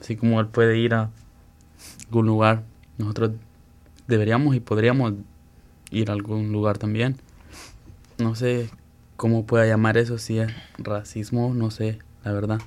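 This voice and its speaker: This man speaks at a moderate pace in a medium pitch, his intonation monotone and flat, with long, frequent pauses. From El Salvador. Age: young. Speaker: high school soccer player, immigrant. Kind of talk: interview testimony.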